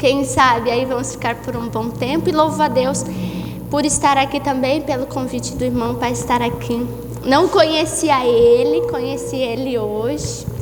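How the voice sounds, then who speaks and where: Over music in the background, a woman with a southern Brazilian accent talks at a moderate pace, with audible room echo. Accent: gaúcho (southern Brazilian). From southern Brazil, Santa Maria, Rio Grande do Sul. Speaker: guest preacher. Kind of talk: sermon. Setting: church service.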